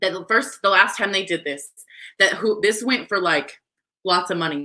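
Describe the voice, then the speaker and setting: A woman speaking over a quiet background. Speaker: auction host, sales consultant. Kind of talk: live-streamed charity auction. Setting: live video stream. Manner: excitable. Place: office. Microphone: webcam.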